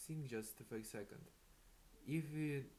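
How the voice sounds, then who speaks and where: With a non-native accent, a man speaks amid audible room echo. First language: not English. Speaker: self-improvement vlogger. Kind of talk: casual motivational monologue. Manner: halting, many fillers.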